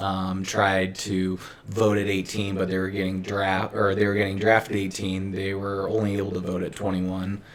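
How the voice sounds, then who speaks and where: A man speaks in a monotone at a moderate pace, his fairly low voice flat in intonation, with audible echo from the room. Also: hardly any pauses. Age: 30s. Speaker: podcast co-host. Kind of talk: casual chat.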